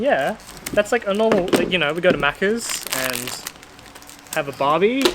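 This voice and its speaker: Very wide pitch swings in an Australian accent at a fairly slow pace, with noticeable background noise. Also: woman, medium pitch for a woman. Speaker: speedcubing YouTuber. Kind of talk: casual chat.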